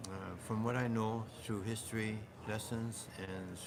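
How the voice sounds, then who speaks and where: Man at a fairly low pitch with audible room echo. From Canada. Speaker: oral history speaker. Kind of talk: oral history interview. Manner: hesitant with fillers.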